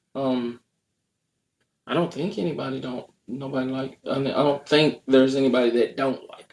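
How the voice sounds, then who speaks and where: A medium-pitched man with an American accent, at a fairly quick pace. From United States. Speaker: host's husband. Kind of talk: casual chat.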